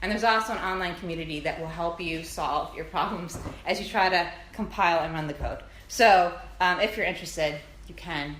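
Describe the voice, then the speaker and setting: At a fairly quick pace, a woman with a medium pitch and ordinary pitch variation speaks amid noticeable background noise and audible room echo. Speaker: physics lecturer. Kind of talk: lecture. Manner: fast.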